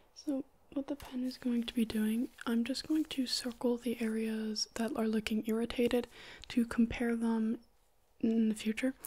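A soft-spoken woman talks in a flat monotone. Her tone is dark and mellow. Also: moderate pace. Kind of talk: soft-spoken role-play address to viewer. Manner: soft, hushed ASMR examiner voice. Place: home room.

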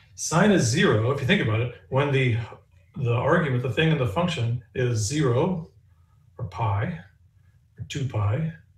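Somewhat breathy and lively in intonation, a man speaks at a fairly slow pace with long, frequent pauses and audible room echo. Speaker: physics professor; physics lecturer. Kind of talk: lecture. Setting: recorded lecture with demonstrations. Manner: casual, humorous. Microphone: camera far.

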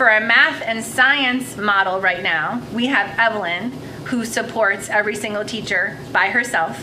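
Lively intonation marks a woman's medium-pitched voice at a moderate pace. Audible room echo and noticeable background noise surround her. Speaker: school district administrator. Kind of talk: presentation at board meeting.

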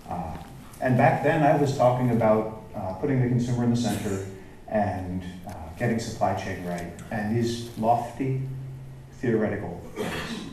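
Speaking at a moderate pace, a man shows ordinary pitch variation. There is audible room echo and light background noise. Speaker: keynote speaker. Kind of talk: keynote presentation. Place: hall.

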